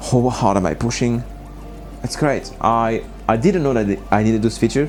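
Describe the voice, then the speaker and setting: A man talks at a fairly quick pace in a medium pitch. Noticeable background noise sits behind him. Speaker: scuba diver and gear reviewer. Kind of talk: product review vlog. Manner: halting.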